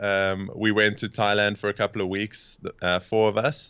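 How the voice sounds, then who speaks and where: In a South African accent, a man speaks at a moderate pace with a fairly low pitch and monotone, flat intonation. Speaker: coach and podcast host. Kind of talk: casual interview chat. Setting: video or phone call from Cape Town.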